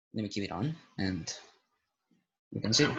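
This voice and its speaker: A man's fairly low voice with vocal fry. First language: Spanish. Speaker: YouTuber reviewing paranormal apps. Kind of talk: casual vlog commentary. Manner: hesitant, rambling.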